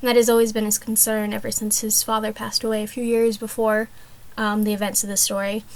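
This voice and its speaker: A woman's fairly high voice at a very fast pace, in monotone, flat intonation. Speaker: art student. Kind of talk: class presentation. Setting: small closet room. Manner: hesitant, many fillers.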